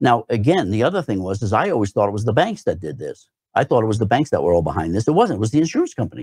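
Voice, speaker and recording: Speaking very fast at a medium pitch, a man makes very wide pitch swings in a somewhat breathy voice. The sound is dry and close, with no echo. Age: 60s. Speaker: radio talk show host. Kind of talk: solo radio talk, reading listener comments. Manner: halting, many fillers and repetitions.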